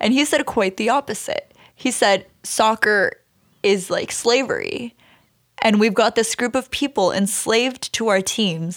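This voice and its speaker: In a Canadian accent, a woman with a plain, everyday voice speaks at a fairly slow pace and fairly high pitch with ordinary pitch variation, on a very clean recording with a silent background. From Canada, Brampton, Ontario. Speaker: journalist and pageant winner. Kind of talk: casual chat. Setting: studio.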